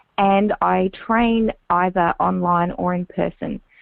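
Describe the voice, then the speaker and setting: A woman speaks in an Australian accent. Her pitch is medium. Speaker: public speaking and on-camera coach. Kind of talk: interview.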